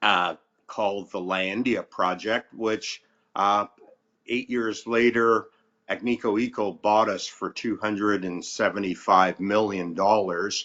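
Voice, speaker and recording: A man's fairly low, fairly even voice at a fairly slow pace, an unremarkable speaking voice. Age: 60s. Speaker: mining company CEO and geologist. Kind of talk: interview.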